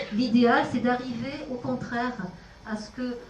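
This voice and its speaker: Audible room echo surrounds a woman speaking at a high pitch with a non-native accent. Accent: foreign. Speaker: speech therapist. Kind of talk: panel discussion.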